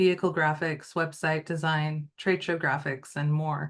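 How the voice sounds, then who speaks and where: Over a quiet background, a woman with an American accent uses an ordinary speaking voice, talking at a fairly slow pace with fairly even intonation. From US Pacific Northwest, Wenatchee Valley. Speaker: entrepreneur. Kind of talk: lecture. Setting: video call.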